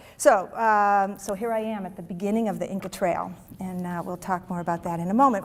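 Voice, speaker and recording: On a very clean recording with a silent background, a woman speaks in a normal speaking voice at a medium pitch. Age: 60s. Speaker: HR executive giving a talk. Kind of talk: presentation to an audience. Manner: conversational with frequent fillers.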